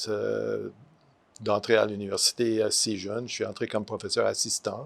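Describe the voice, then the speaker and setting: A man speaks with an English accent in a very clean recording with a silent background. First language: English (speaking French). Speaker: retired art professor. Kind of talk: interview. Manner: halting, many hesitations.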